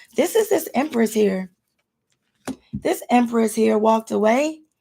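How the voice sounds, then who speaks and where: Somewhat breathy and dark, mellow in tone, a woman's fairly high voice moves at a moderate pace. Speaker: tarot reader. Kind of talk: tarot reading.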